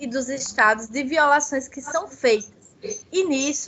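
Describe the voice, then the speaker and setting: With a Paraíba accent, a woman speaks in a high voice. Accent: Paraíba (northeastern Brazilian). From Paraíba, Brazil (Northeast). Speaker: legal researcher, children's rights. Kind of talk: academic seminar talk.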